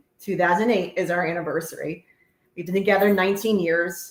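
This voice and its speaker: A woman talks with a New Jersey accent. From New Jersey, Woodbridge Township. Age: 40s. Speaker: host's wife, cleaning business owner. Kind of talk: casual chat.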